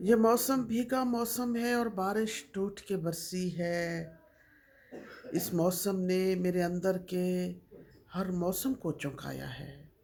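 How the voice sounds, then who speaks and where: Using an unremarkable speaking voice, a woman talks at a medium pitch with ordinary pitch variation. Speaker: poet. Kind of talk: poetry reading.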